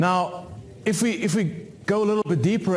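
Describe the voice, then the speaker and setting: Noticeable background noise and audible room echo around a man speaking at a moderate pace. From South Africa. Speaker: cybersecurity expert. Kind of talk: conference talk. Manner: halting, many fillers.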